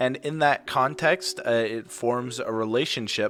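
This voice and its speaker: Music plays in the background as a man speaks at a fairly slow pace. His pitch is medium and his intonation lively. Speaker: student podcast host. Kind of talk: interview.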